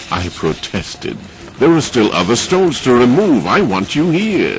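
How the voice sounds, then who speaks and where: A man's pitch swings very widely. Music sounds in the background. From Trinidad. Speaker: broadcaster.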